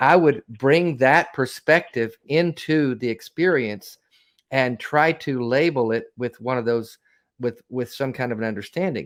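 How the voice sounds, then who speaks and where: The recording is very clean and the background silent. A man talks in a Southern US accent. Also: medium pitch for a man, ordinary pitch variation, fairly slow pace. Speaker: co-host of call-in show. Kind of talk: casual chat.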